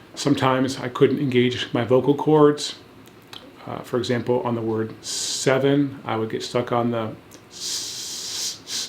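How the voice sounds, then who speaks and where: A man speaks at a fairly slow pace in a flat monotone. Noticeable background noise runs underneath. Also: medium pitch for a man. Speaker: founder of a stuttering program. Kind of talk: testimony. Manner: fluent, measured.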